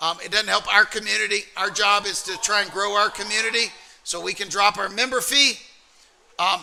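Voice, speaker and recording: Over noticeable background noise, a man with an American accent projects a raised voice at a high pitch and a fairly quick pace. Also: fairly even intonation. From US South, Alabama. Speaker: trading community co-owner. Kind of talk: livestream trading workshop talk.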